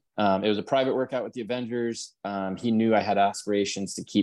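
Against a quiet background, a man talks at a moderate pace with fairly even intonation. He has an unremarkable speaking voice. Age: 30s. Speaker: former college football player. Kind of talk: casual chat.

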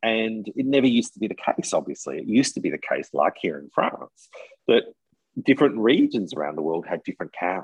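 A man with an Australian accent talks at a fairly quick pace. His loudness swings widely. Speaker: tour guide in France. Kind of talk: casual chat.

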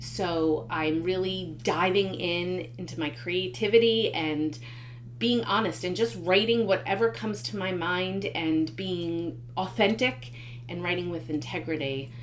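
There's audible room echo and noticeable background noise as a woman speaks at a fairly low pitch. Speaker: podcast host and author. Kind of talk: solo monologue podcast. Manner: hesitant with many fillers.

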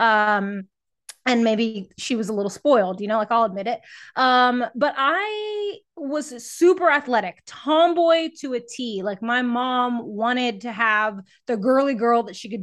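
Against a quiet background, a woman with a fairly high voice talks at a fairly slow pace in an animated tone, with ordinary pitch variation. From Texas, San Antonio. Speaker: fitness trainer and podcast host. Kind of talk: casual interview chat. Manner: animated, high energy.

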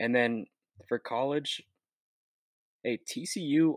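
Recorded dry and close with no echo, a man speaks with ordinary pitch variation. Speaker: podcast co-host. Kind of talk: casual sports chat.

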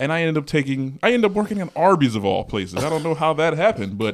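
A man's fairly high voice at a very fast pace, with very wide pitch swings. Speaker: podcast host. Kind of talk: casual chat.

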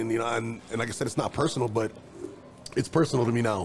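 This man talks at a very fast pace. He has a Chicago accent. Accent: Chicago-area American. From East Chicago, Indiana. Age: 30s. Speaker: videographer. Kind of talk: casual chat.

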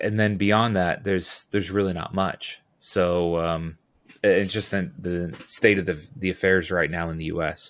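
In an American accent, this voice moves at a moderate pace with fairly even intonation, captured on a very clean recording with a silent background. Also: man, very deep, low pitch for a man. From Southern California. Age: 40s. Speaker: utility locating business owner. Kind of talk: casual interview.

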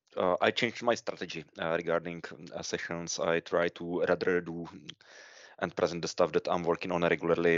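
With a Czech accent, a man speaks at a moderate pace. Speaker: podcast co-host, consultant. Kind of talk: podcast interview.

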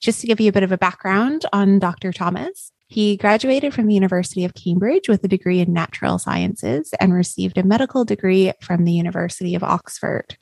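With a Canadian accent, a woman of medium pitch has an unremarkable speaking voice, talking at a fairly quick pace with hardly any pauses and ordinary pitch variation in a dry, close sound with no echo. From Canada. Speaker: podcast host. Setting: video call.

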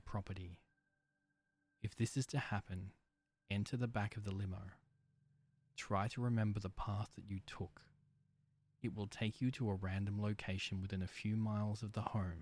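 A man with a fairly low pitch talks in a monotone, flat intonation, leaving long, frequent pauses. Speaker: horror story narrator. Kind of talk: creepypasta horror narration, first-person, read aloud in a hushed, ominous tone. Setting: studio. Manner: slow, deliberate, suspenseful.

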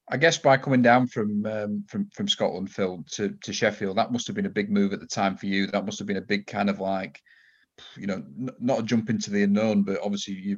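A man speaks at a very fast pace with a Yorkshire accent. The background is quiet. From Yorkshire, England. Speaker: podcast host. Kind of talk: casual interview.

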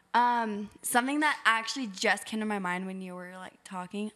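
On a very clean recording with a silent background, a woman with an American accent speaks at a moderate pace in a fairly high pitch, her tone bright and sharp, with ordinary pitch variation. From Arizona. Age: 20s. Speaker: podcast co-host, hairstylist. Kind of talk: casual chat.

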